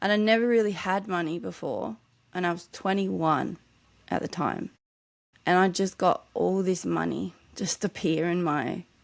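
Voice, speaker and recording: Her Australian accent and fairly low voice come through at a moderate pace with ordinary pitch variation and long, frequent pauses. The recording is very clean, with a silent background. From Australia, New South Wales south coast. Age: 40s. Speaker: author. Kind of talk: podcast interview. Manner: occasional slurred words when tired.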